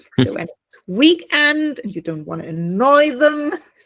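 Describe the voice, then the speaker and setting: A woman with a German accent speaks at a fairly slow pace with very wide pitch swings. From Germany. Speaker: online business owner. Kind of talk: casual group video call chat.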